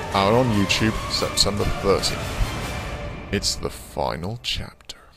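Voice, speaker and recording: Music runs in the background while a man talks at a very slow pace. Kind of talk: movie trailer.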